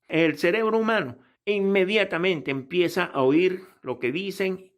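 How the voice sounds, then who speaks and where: On a very clean recording with a silent background, the speaker's intonation is lively. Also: man. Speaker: pilot and aviation English teacher. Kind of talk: tutorial; sales pitch. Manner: casual, conversational.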